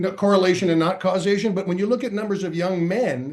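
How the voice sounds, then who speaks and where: This man speaks at a high pitch. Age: 60s. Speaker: comedian. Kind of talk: casual chat. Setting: podcast panel.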